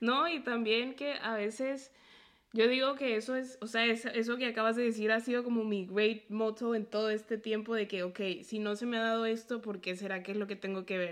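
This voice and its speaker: An unremarkable speaking voice from a woman, fairly high in pitch, at a moderate pace and with fairly even intonation. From Mexico (near Puebla) and Colombia. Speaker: podcast host and medical student. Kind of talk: interview conversation.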